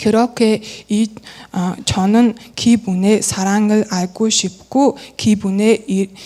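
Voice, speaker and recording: A woman with a Mongolian accent, fairly high in pitch, monotone and flat, at a very slow pace. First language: Mongolian (speaking Korean). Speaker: church member. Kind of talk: testimony. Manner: halting, with self-corrections.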